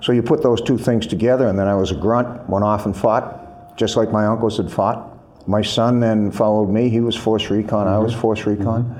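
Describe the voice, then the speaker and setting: The speech moves at a fairly quick pace with fairly even intonation and very even loudness. Noticeable background noise runs underneath. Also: man, medium pitch for a man. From US Northeast, Boston area. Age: 70s. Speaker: former Marine officer and military writer. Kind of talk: interview.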